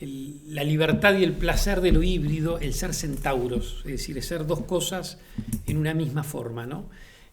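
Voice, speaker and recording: In a Uruguayan accent, a man talks at a moderate pace and a fairly high pitch, with audible room echo and noticeable background noise. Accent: Uruguayan Spanish (rioplatense). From Uruguay, Montevideo. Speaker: playwright and theatre director. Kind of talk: interview monologue. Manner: reflective with frequent hesitations.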